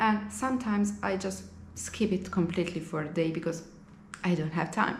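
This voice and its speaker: A woman's somewhat breathy, medium-pitched voice with an Italian accent, ordinary pitch variation, a moderate pace and audible room echo. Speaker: language teacher and vlogger. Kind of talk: casual vlog monologue.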